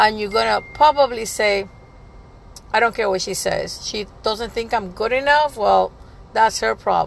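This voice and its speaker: A woman speaks fairly slowly. Noticeable noise runs behind her. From Puerto Rico. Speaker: life coach. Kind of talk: casual monologue. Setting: in a car.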